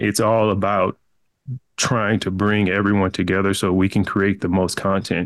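A man with an American accent speaks at a moderate pace in a fairly low pitch, his loudness very even and his intonation flat and monotone, on a very clean recording with a silent background. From small-town Texas. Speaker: entrepreneur. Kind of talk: interview.

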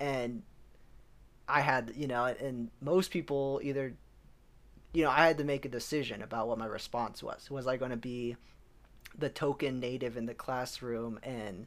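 An American-accented man of medium pitch at a fairly slow pace, on a very clean recording with a silent background. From US Southwest, Albuquerque, New Mexico. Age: 20s. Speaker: podcast co-host. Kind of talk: casual chat.

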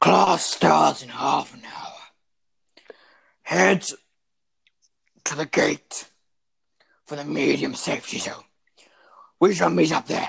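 A raspy, put-on character voice sits at a low-to-middle pitch. It moves fairly slowly, with long, frequent pauses. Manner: stern, commanding drill-sergeant tone.

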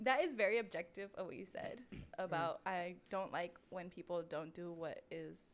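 A woman speaks at a moderate pace in a medium pitch. Her tone is animated, with ordinary pitch variation. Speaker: podcast co-host. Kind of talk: casual chat. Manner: animated, laughs often.

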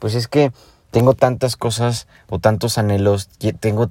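A man talks fairly slowly in a very clean recording where the background is silent. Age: 20s. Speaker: podcaster. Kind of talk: personal reflection monologue. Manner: casual, conversational.

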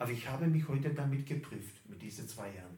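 Vocal fry and very wide pitch swings run through this man's voice, with audible room echo. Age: 50s. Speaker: pastor. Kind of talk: sermon.

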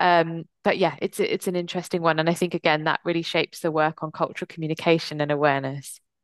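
With a southern English accent, a woman speaks at a very fast pace with hardly any pauses, in a fairly low, monotone, flat voice, with a dry, close sound with no echo and a quiet background. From England, Kent (moved from US at nine). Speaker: diversity and mental health consultant. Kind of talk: interview.

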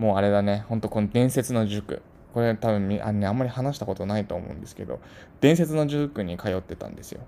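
Very fast and with big swings in loudness, a man talks at a fairly low pitch in a dark, mellow tone with ordinary pitch variation. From Tokyo, Japan. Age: 30s. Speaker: podcast host, office worker. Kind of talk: casual monologue. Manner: unpolished, not used to talking. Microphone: cheap equipment, may be hard to hear.

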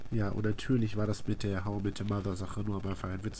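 This man's pitch is fairly low. He talks at a very fast pace. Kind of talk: casual chat.

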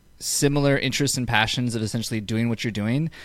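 A man with an ordinary speaking voice, medium in pitch with ordinary pitch variation, is heard on a very clean recording with a silent background. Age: 30s. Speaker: podcast host and fitness business owner. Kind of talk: casual chat.

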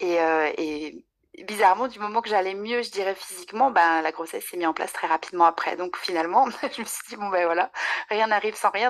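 Fairly quick and medium in pitch, a woman's unremarkable speaking voice shows ordinary pitch variation and big swings in loudness. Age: 30s. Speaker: nutrition adviser. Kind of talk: casual interview.

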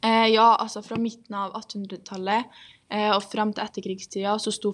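A medium-pitched woman's voice, moderate in pace and flat, monotone in intonation. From Norway, Trondheim. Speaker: guest speaking about Sami identity. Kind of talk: interview.

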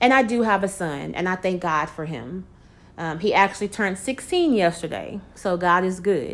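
Here is a plain, everyday voice. It keeps a moderate pace and lively intonation. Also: woman, medium pitch for a woman. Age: 40s. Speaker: inspirational podcast host. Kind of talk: casual devotional monologue. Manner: conversational.

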